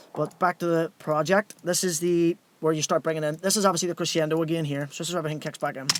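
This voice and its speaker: A man speaks at a very fast pace with hardly any pauses. The sound is dry with no echo, over light background noise. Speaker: music producer and DJ; DJ. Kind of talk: livestream tutorial. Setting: home studio, live stream. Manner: casual, conversational. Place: studio.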